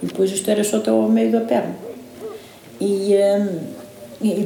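Over noticeable background noise and audible room echo, a woman speaks at medium pitch. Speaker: farmer. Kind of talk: personal testimony.

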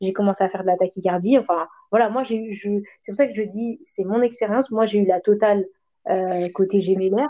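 The tone is dark and mellow. This woman's intonation holds fairly even. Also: medium pitch for a woman. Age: 30s. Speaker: stay-at-home mother of twins. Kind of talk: casual chat.

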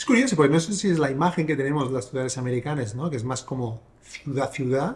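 A somewhat breathy male voice at a very fast pace. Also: fairly high pitch for a man, ordinary pitch variation. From Catalonia, Sabadell. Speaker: podcast host. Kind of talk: casual interview.

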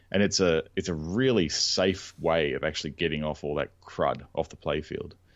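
A man with an Australian accent has a very deep, low pitch and ordinary pitch variation. He speaks at a moderate pace with hardly any pauses. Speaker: podcast co-host, pinball restorer. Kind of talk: casual chat.

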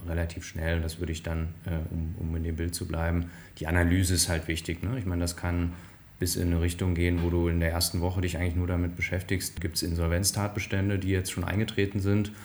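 A man's somewhat breathy, very deep, low voice, very fast, with monotone, flat intonation. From northern Hesse, Germany (Bad Hersfeld). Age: 40s. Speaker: management consultant. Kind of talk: interview conversation. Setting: office with interviewer in the same room.

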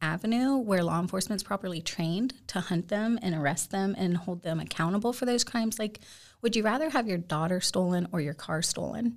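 In a very clean recording with a silent background, a woman with a plain, everyday voice talks at a fairly quick pace, at medium pitch, with ordinary pitch variation and very even loudness. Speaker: author, speaker, abolitionist. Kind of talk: casual interview conversation. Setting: studio.

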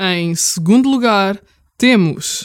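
Recorded dry and close with no echo, a woman at medium pitch speaks very slowly with lively intonation. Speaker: podcast co-host. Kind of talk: mock awards ceremony presenting.

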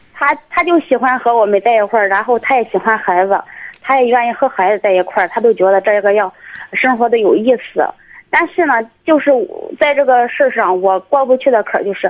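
Her fairly high voice holds a very even loudness as this woman speaks at a fairly quick pace. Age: 20s. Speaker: caller. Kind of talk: call-in advice chat. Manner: halting.

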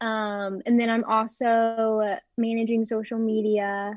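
A woman with an American accent speaks at a fairly high pitch in a monotone, flat delivery. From Texas, Dallas. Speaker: college student and online shop owner. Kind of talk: casual interview.

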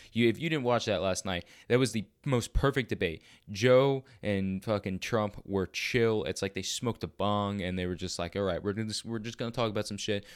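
The pace is fairly quick, with ordinary pitch variation. The recording is very clean, with a silent background. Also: man. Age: 18. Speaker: fitness podcast host. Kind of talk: casual solo monologue. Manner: animated.

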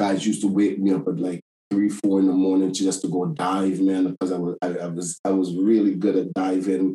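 Speaking at a fairly quick pace, a man uses a very deep, low pitch with a dark, mellow tone and fairly even intonation. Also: hardly any pauses. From Tobago. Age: 50s. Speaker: outdoor adventure company owner. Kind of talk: casual chat.

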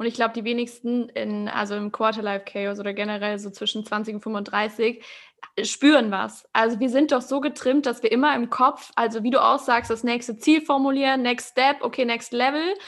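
A woman talks at a fairly quick pace in an unremarkable speaking voice, fairly high-pitched, with fairly even intonation. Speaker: podcast host. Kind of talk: casual interview chat.

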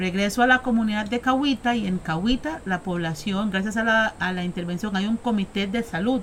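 Her voice is a plain, everyday voice at a medium pitch. The woman keeps a moderate pace with ordinary pitch variation. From Costa Rica, Caribbean coast (Limón). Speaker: Afro-descendant community activist. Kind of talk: interview. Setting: on location in Punta Uva, Limón.

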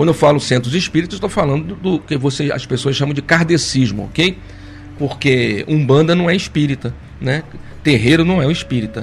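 Over noticeable background noise, a man speaks fairly quickly with a fairly high pitch and ordinary pitch variation. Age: 50s. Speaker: spiritist study leader. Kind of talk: lecture. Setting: live stream.

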